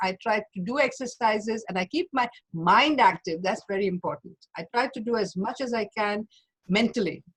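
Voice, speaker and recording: A woman with a fairly high pitch talks at a moderate pace, somewhat breathy and with lively intonation, in a dry, close sound with no echo. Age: 80s+. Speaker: doctor giving a lecture on aging. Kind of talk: Q&A after a lecture.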